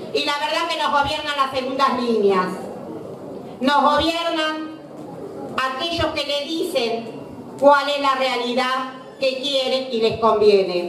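A woman talks at a very slow pace with long, frequent pauses, her high voice showing ordinary pitch variation. Audible room echo and light background noise sit behind her. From Argentina. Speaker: political activist. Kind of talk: political speech. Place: hall.

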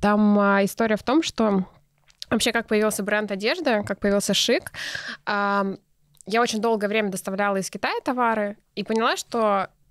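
Against a quiet background with a dry sound and no echo, a woman with an unremarkable speaking voice talks at a fairly high pitch with fairly even intonation. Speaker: entrepreneur, clothing brand founder; podcast guest. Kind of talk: casual interview. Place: studio. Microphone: studio mic.

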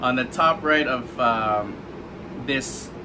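A man's speech, with ordinary pitch variation, comes through over noticeable background noise. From Hawaii. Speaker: food writer and blogger, unboxing video host; unboxing vlogger. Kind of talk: casual unboxing vlog; casual vlog chat. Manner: hesitant, many filler words. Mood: cheerful, curious. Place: home room. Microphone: camera far.

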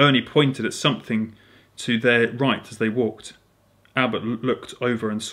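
The speaker is reading aloud in a natural voice. The intonation stays fairly even.

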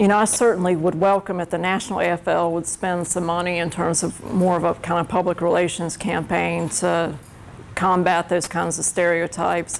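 A woman's fairly low voice with an American accent, vocal fry, flat monotone intonation and a moderate pace, over light background noise. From North Carolina. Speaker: labor union representative. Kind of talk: classroom Q&A. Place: classroom.

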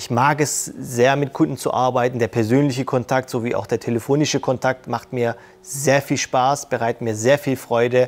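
A man's monotone, flat delivery with hardly any pauses. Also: medium pitch for a man, moderate pace. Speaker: sales support employee. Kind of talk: corporate interview; interview answer. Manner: casual with filler words. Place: hall. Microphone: lapel.

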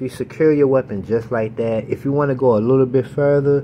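With an animated tone, a man at medium pitch speaks at a moderate pace with ordinary pitch variation over noticeable background noise. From Baltimore, Maryland, US. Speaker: gun YouTuber. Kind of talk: casual tutorial. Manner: casual, animated.

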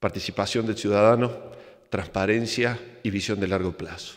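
A man with a Córdoba Argentine accent and a fairly low pitch, against a quiet background. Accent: Cordoban Argentine Spanish, noticeable. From Argentina, Córdoba; Argentina. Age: 50s. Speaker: engineer and plane crash survivor; conference speaker. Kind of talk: motivational talk. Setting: stage with audience. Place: stage. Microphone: podium.

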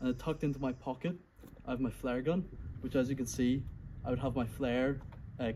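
A man with a dark, mellow, somewhat breathy tone speaks at a fairly quick pace with ordinary pitch variation and very even loudness over light background noise. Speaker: reenactor showing his kit. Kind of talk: casual explanatory show-and-tell. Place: garden. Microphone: phone near.

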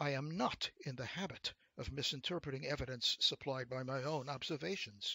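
Simply plain reading aloud

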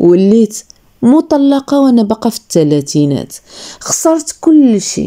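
Her voice fairly high, a woman speaks very slowly with very wide pitch swings. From Morocco. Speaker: storyteller. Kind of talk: first-person story narration.

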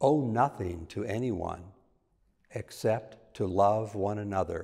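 The voice is somewhat breathy and moves very slowly, with ordinary pitch variation. The background is quiet. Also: man. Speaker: lector reading scripture and intercessions. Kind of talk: scripture reading and prayers of the faithful. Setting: church. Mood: calm, solemn. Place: church. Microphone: lapel.

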